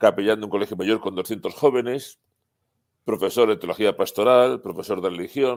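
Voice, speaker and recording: A man with a fairly low pitch talks at a moderate pace with ordinary pitch variation, in a normal speaking voice. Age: 60s. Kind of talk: interview.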